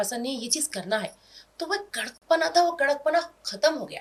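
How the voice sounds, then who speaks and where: A woman speaks with a Hyderabadi accent. Her pace is moderate. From India, Hyderabad. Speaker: comedic social media video actress. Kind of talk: interview chat. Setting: studio, on camera. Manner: quiet off-camera, loud high-pitched in character.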